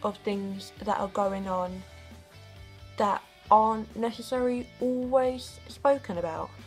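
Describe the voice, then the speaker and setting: Over music in the background, a woman with a British accent speaks at a fairly slow pace in a fairly high pitch, pausing long and often, with ordinary pitch variation. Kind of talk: casual talk to camera.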